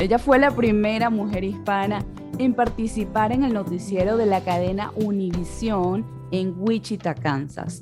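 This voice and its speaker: Music plays in the background as someone talks at a fairly slow pace. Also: woman. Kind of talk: podcast host intro and interview.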